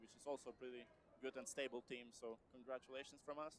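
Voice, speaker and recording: A man with a Polish accent talks at a very fast pace with fairly even intonation. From Poland. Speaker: sports commentator. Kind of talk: live commentary. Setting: gym. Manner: halting.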